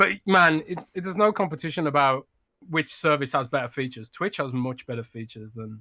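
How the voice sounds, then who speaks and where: A man with a British accent speaks at a fairly quick pace and fairly high pitch, his bright, sharp tone carrying lively intonation and big swings in loudness on a very clean recording with a silent background. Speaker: podcast co-host, games journalist. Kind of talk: casual chat. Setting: live stream.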